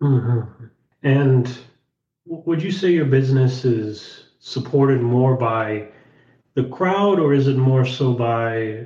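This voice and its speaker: Somewhat breathy, a man's medium-pitched voice comes through. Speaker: podcast host. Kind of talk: interview.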